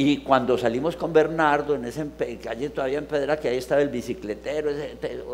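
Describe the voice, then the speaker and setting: A man at a fairly high pitch, very fast pace and fairly even intonation, over noticeable background noise. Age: 70s. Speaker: theatre person, presenter. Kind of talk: casual chat. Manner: halting.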